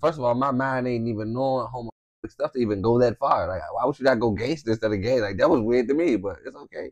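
Against a quiet background, a man speaks at a very fast pace with an animated tone, medium pitch and ordinary pitch variation. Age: 30s. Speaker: YouTube channel host. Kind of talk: casual chat. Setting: at home in bed. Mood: relaxed, joking. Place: home room. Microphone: lapel.

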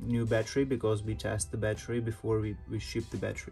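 A fairly low-pitched male voice with faint music in the background. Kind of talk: tutorial. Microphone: phone near.

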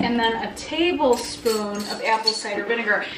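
A woman talks fairly slowly with noticeable background noise around her. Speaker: home cook vlogger. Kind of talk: casual cooking tutorial chat. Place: kitchen.

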